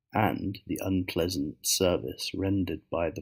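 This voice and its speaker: Soft-spoken and somewhat breathy, a man talks at a very slow pace with a very deep, low pitch. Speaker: ASMR reader. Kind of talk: audiobook reading.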